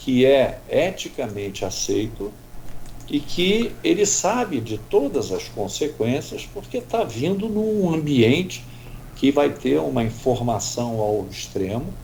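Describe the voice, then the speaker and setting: A man at a medium pitch, with very wide pitch swings, a very slow pace and audible room echo. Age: 70s. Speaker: doctor. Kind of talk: radio interview.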